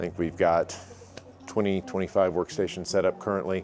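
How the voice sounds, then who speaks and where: A man speaks at a very deep, low pitch with ordinary pitch variation. Music plays in the background. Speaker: business owner giving a facility tour. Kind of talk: casual walkthrough tour. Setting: walking indoors, office and warehouse. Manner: loud.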